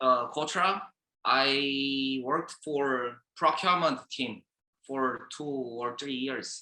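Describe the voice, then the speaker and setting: Speaking very slowly with a Korean accent, a man uses a fairly high pitch and ordinary pitch variation. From South Korea. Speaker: sourcing expert. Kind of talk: webinar presentation. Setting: online webinar. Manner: halting.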